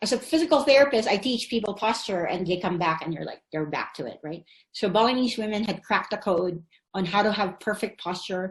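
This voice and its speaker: A woman speaks at a fairly quick clip with lively intonation. Her pitch sits in the middle range, and her voice is somewhat breathy. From Philippines. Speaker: physical therapist. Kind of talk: online summit presentation.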